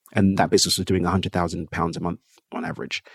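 Very fast and monotone, a man with a London accent speaks at a very deep, low pitch in a dry, close sound with no echo. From England. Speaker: entrepreneur. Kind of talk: interview.

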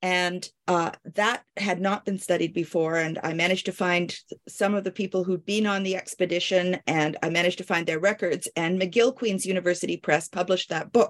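At a moderate pace, a woman talks in an ordinary speaking voice with a medium pitch. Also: dry, close sound with no echo. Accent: Canadian. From Canada. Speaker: medical historian and physician. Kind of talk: interview.

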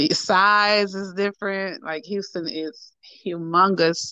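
Over a quiet background, a woman reads at a very slow pace with a medium pitch, ordinary pitch variation, and a bright, sharp tone. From New Orleans, Louisiana. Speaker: poet and preacher. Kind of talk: interview.

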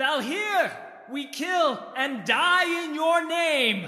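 Shouting at a very slow pace, a man uses lively intonation and an extremely high pitch. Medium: read story. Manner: fervent, shouting invocations.

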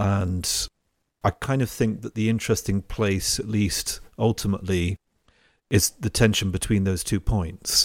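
A man's fairly low voice, fairly slow and fairly even in intonation, in a dry, close sound with no echo and a very clean recording with a silent background. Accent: English. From England. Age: 40s. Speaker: podcast host. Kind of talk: interview.

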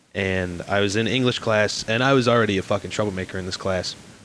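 A man talks with a fairly low pitch. He has a Chicago accent. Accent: Chicago American. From Chicago, US Midwest. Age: 20s. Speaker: podcast guest. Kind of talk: casual chat.

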